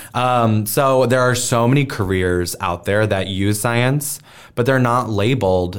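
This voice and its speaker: In a very clean recording with a silent background, a man speaks slowly-ish with an American accent and fairly even intonation. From US Midwest, Omaha, Nebraska. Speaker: teacher and STEM educator, stand-up comedian. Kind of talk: casual interview.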